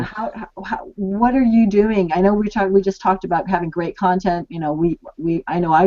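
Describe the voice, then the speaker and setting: A woman speaks in a plain, everyday voice. Her pitch variation is ordinary. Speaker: co-host interviewer. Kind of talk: interview question.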